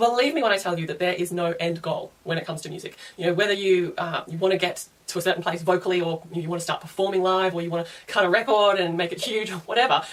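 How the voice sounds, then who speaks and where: Very fast and fairly even in intonation, a woman speaks at a medium pitch over noticeable background noise. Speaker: singing teacher. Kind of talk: casual talk to camera.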